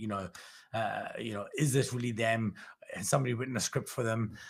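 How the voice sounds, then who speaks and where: A somewhat breathy man at a medium pitch and a very fast pace, with ordinary pitch variation, on a very clean recording with a silent background. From Glasgow, Scotland, then South Africa from age nine. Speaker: professional speaker. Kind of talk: improvised solo monologue on livestream. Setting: livestream with chat audience.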